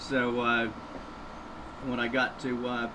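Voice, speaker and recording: A man with an American accent speaks at a medium pitch. Noticeable background noise and audible room echo surround him. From US South, southeast Florida. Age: 50s. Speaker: entomology professor. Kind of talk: radio interview. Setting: studio.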